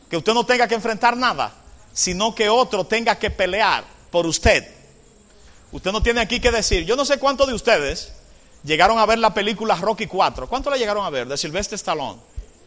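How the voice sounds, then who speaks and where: Projecting a raised voice, a man speaks at an extremely high pitch with lively intonation and a bright, sharp tone. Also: long, frequent pauses. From Dominican Republic, Cambita (San Cristóbal). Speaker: Adventist pastor / Bible teacher. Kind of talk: sermon / Bible study lecture.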